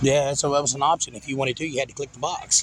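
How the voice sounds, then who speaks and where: Speaking at a very fast pace, a man with a fairly high voice talks with a Southern US accent. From Arkansas. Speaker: car show judge. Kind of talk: casual chat.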